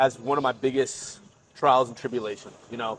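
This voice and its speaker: Noticeable background noise sits behind a man with an American accent, who speaks fairly quickly at a medium pitch with fairly even intonation. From Florida. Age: 20s. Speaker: university student. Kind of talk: casual podcast conversation. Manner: hesitant, filler-heavy.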